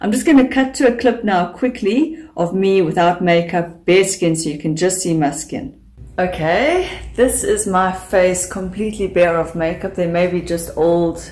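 Over light background noise, a woman talks at a fairly slow pace with lively intonation. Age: 40s. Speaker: beauty YouTuber. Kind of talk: vlog talk to camera. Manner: animated.

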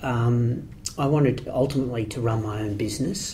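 A man with an Australian accent, medium pitch, ordinary pitch variation and a moderate pace. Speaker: property project marketer. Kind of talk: interview. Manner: halting.

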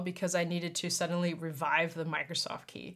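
An unremarkable speaking voice from a woman, fairly low in pitch, at a moderate pace against a quiet background. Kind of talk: casual tutorial talk. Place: home room.

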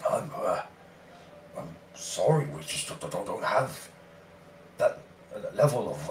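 A man's put-on character voice at a very slow pace, with long, frequent pauses and clear background noise. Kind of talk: formal, dignified speech. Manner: apologetic, courteous, regretful.

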